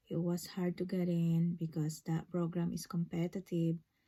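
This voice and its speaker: Somewhat breathy with a dark, mellow tone, the voice moves at a fairly slow pace in a monotone, flat intonation. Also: woman. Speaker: registered nurse. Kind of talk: personal vlog story. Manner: halting, many fillers.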